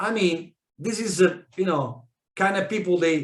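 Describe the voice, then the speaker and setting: With a non-native accent, a man speaks at a fairly slow pace. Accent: non-native English speaker. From South America, Italian immigrant family. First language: Spanish. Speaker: network marketing leader. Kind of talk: training talk. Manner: halting, many fillers and restarts.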